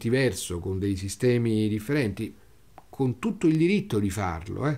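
The voice has a dark, mellow tone and very wide pitch swings. Its pace is moderate. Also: man. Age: 60s. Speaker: wine critic. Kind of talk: interview storytelling. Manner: halting, with repetitions.

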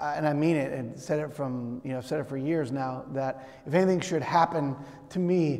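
The speaker is a man. He keeps a moderate pace, and his pitch moves the usual amount. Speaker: pastor. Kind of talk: sermon. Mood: warm, grateful. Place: church.

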